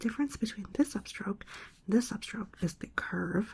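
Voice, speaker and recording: A soft-spoken woman whispers in a gentle, somewhat breathy tone. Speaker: ASMR creator and brush lettering instructor. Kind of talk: instructional ASMR tutorial. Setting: indoors at a desk with rain sounds in the background. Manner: soft-spoken, whispering, gentle.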